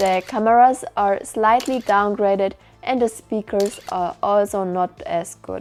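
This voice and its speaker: A woman speaks with a German accent at a fairly slow pace. Her pitch is fairly high, with ordinary variation. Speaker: tech reviewer. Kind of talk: product review.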